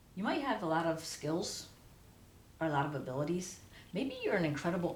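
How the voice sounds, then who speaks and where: Over noticeable background noise and audible room echo, a woman talks at a fairly quick pace with a fairly low pitch and lively intonation. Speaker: tarot reader. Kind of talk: tarot reading to camera. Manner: halting, self-correcting; casual, conversational.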